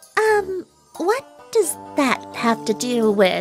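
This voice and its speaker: A female-sounding cartoonish character voice stretches out its words at a very slow pace with high pitch. Faint music plays in the background. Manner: brash, theatrical.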